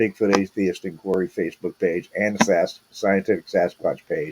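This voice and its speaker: A man with an American accent has a dark, mellow tone and ordinary pitch variation. The sound is dry and close with no echo. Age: 50s. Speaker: podcast host, Bigfoot researcher. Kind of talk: live stream Q&A, casual monologue. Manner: halting, many fillers.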